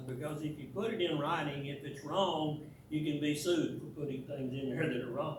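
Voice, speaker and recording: A man's fairly high-pitched voice with fairly even intonation, amid audible room echo and noticeable background noise. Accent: American. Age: 80s+. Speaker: church teacher. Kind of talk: church talk / lecture. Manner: halting, many repetitions.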